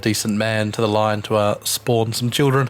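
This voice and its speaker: A man with a New Zealand accent talks fairly quickly at medium pitch with fairly even intonation. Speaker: gaming video creator. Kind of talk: let's play commentary. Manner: casual, with filler words.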